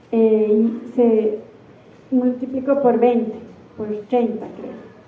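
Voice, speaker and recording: The speech comes very slowly in an Andean Ecuadorian accent. Noticeable background noise and audible room echo fill the recording. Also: woman. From Ecuador, Cuenca (southern Andes). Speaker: architect and university researcher. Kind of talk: conference keynote talk. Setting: stage with audience at a seminar. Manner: halting, many filler sounds.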